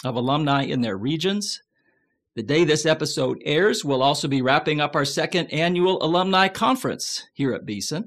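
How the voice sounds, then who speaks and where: A man with a plain, everyday voice and fairly high pitch talks at a moderate pace. His intonation is lively, and the background is quiet. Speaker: podcast host. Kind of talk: casual interview.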